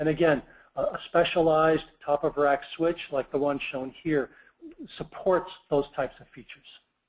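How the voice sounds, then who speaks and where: Speaking at a fairly high pitch, a man keeps a monotone, flat intonation while his loudness swings widely. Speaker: product marketing director presenting. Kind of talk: technical webinar presentation. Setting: online webinar. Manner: fast; hesitant with fillers.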